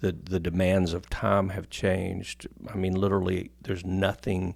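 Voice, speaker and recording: A man with an American accent speaks in a very deep, low voice at a moderate pace. His intonation is monotone and flat, on a very clean recording with a silent background. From US military town. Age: 60s. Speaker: pastor. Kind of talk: interview before a live audience. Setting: stage with live audience. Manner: halting, with fillers.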